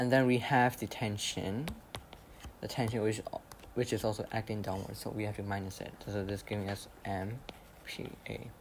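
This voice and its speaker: The speech moves at a moderate pace with long, frequent pauses. Background noise is noticeable. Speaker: maths tutor. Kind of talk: tutorial. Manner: hesitant, with fillers and repetitions.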